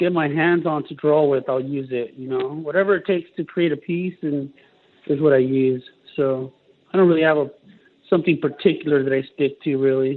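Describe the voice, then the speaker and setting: The man's voice sits at a fairly high pitch. Its pitch varies an ordinary amount. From California, Mexican heritage. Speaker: tattoo artist. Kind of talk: interview. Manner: casual, many fillers.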